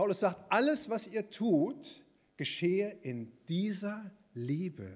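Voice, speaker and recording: A man speaks at a very slow pace. His voice is high-pitched and swings very widely in pitch. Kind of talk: sermon. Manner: warm, earnest and encouraging, with pastoral emphasis; conversational, plain-spoken, lively, and addressing the congregation directly.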